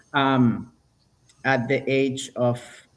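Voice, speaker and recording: A man with a Spanish accent. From Venezuela. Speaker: violinist. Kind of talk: interview.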